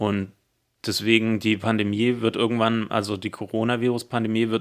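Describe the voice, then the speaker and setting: Here a man of medium pitch talks at a fairly quick pace. His intonation is monotone and flat, in a very clean recording with a silent background. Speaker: podcast co-host. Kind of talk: casual chat.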